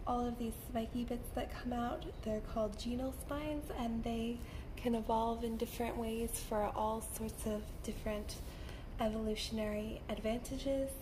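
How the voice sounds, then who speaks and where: Over noticeable background noise, a woman talks at a moderate pace with very even loudness and monotone, flat intonation. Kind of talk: soft-spoken ASMR lecture.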